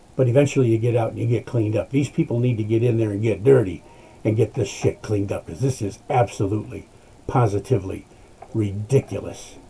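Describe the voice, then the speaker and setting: Words rush out of a man at a very fast pace. His medium-pitched voice is somewhat breathy. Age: 60s. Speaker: political commentator. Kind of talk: political rant. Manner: animated; halting.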